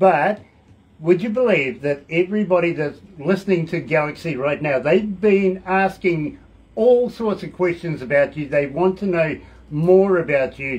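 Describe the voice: Delivered at a fairly slow pace, the voice has a slightly mellow tone and ordinary pitch variation. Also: man, fairly high pitch for a man.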